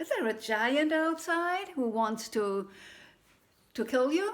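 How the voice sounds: A woman speaks slowly in a put-on character voice, her high pitch making big swings.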